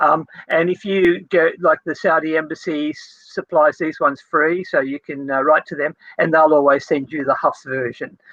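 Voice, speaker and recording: A man speaks in a normal speaking voice at a moderate pace. His pitch is fairly high, and his intonation stays fairly even. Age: 60s. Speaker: theology lecturer. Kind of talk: casual interview.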